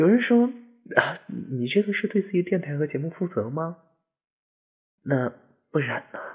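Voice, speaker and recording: High-pitched for a man, this speaker uses lively intonation and leaves long, frequent pauses. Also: moderate pace. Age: 20s. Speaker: podcast host. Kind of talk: personal monologue. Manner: muffled, held in throat. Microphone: no headphones, echo.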